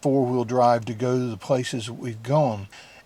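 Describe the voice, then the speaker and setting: With a Southern US accent, a man speaks in a dark, mellow tone. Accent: southern US drawl. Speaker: van-life vlogger. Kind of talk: vlog intro to camera.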